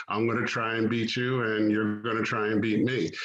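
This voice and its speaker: Amid audible room echo, a man speaks at medium pitch with flat, monotone intonation. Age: 60s. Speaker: track meet director and coach. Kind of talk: radio interview.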